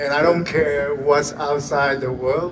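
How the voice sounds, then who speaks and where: Noticeable background noise surrounds the recording. A man with a fairly high pitch speaks at a very slow pace. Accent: Chinese. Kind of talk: public speech.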